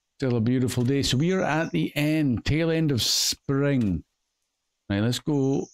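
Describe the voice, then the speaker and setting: With a Scottish accent, a man talks at a medium pitch and very even loudness. The sound is dry and close, with no echo. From Scotland. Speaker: gaming video creator. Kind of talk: game commentary. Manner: casual, chatty.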